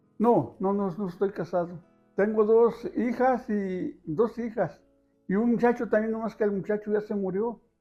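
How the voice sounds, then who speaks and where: Over music in the background, a man with a Jalisco accent speaks at a fairly slow pace and a high pitch, with ordinary pitch variation. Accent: Mexican Spanish, Jalisco. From Ajijic, Jalisco, Mexico. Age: 70s. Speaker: bread vendor, former gardener. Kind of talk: interview answer.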